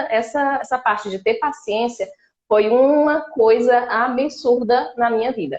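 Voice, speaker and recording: Her voice sits high for a woman, and the woman's pitch moves with ordinary variation. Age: 30s. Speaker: exchange student-to-be. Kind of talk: live stream interview.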